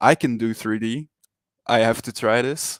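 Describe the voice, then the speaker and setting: At a fairly slow pace, a man with a Flemish accent speaks in a medium pitch, with a dry, close sound with no echo on a very clean recording with a silent background. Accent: Belgian Dutch-speaker. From Belgium. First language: Dutch. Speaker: 3D NFT artist. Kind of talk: interview. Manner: hesitant, many fillers and repetitions.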